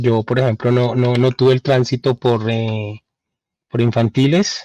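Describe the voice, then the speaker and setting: Delivered at a fairly slow pace, a man's medium-pitched voice carries fairly even intonation in a dry, close recording with no echo. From Colombia, raised in Cali then Bogotá. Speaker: journalist. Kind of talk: interview. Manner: halting, many fillers.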